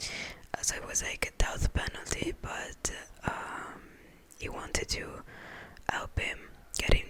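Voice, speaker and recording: Whispering at a fairly slow pace, a woman leaves long, frequent pauses, her loudness swinging widely over noticeable background noise. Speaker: ASMR creator. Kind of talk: ASMR whispered talk about TV shows for sleep. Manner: whispered, slow, relaxing.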